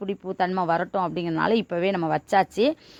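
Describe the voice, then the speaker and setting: A woman speaks with an unremarkable speaking voice. Her intonation stays fairly even. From Tamil Nadu, Manamadurai area. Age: 40s. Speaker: poultry farmer and farming video host. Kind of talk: casual farm tutorial vlog.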